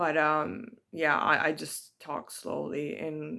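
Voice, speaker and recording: Her voice is very deep and low in pitch for a woman, bright and sharp in tone, with vocal fry and a very slow pace. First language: bilingual English and Italian. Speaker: spiritual vlogger. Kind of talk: personal reflection monologue. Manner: hesitant, many fillers.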